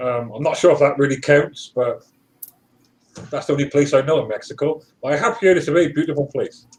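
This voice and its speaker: Somewhat breathy and fairly high in pitch, a man talks at a very fast pace broken by long, frequent pauses. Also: ordinary pitch variation. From UK. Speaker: live stream participant. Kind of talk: casual chat.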